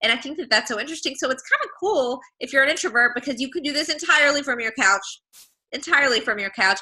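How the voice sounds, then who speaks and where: Her raised, projected voice high in pitch, a woman sounds energetic, with a bright, sharp tone, lively intonation and a very fast pace. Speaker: online business coach. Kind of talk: webinar presentation. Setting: video webinar. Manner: loud, energetic.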